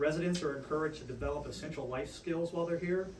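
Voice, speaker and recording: A man with an American accent talks at a very fast pace, with noticeable background noise and audible room echo. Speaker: addiction treatment nonprofit executive. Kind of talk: prepared public speech.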